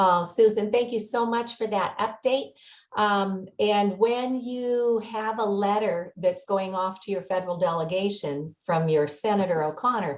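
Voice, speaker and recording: Fairly slow and showing ordinary pitch variation, this is a plain, everyday voice. Nothing else stands out in the delivery. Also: woman, medium pitch for a woman. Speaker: meeting host, activist. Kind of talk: online meeting.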